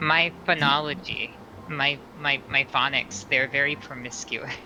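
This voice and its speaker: Over noticeable background noise, a man talks at a fairly slow pace with a fairly high pitch and fairly even intonation. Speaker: tabletop role-playing game player. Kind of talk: casual chat.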